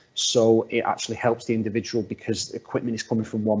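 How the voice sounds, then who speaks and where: A man with a northwest English accent, fairly low-pitched, talking at a fairly quick pace in a flat monotone. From northwest England. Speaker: workplace assessment specialist. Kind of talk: webinar presentation. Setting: video call. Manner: halting, many repeated words.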